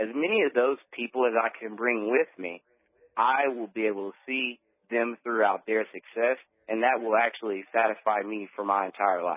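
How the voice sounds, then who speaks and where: An ordinary speaking voice from a man with an American accent, medium pitch, fairly even intonation and moderate pace. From Texas, Beaumont. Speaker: network marketer. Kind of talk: radio interview.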